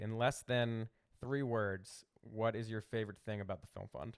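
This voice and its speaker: The recording is very clean, with a silent background. A man speaks at medium pitch in a Philadelphia accent. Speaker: podcast host. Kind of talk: interview podcast; promotional outro. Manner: hurried.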